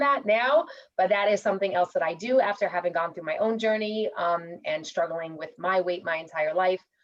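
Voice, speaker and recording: Talking with a New York accent, a woman keeps a fairly quick pace. Her intonation is lively. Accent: New York American. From New York City, US. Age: 40s. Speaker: mortgage consultant. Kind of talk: networking presentation. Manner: casual.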